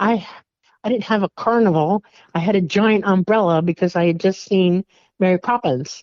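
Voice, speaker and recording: She has an ordinary speaking voice, at medium pitch with ordinary pitch variation. This woman talks at a moderate pace with very even loudness. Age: 60s. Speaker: alien contact experiencer. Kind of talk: interview testimony.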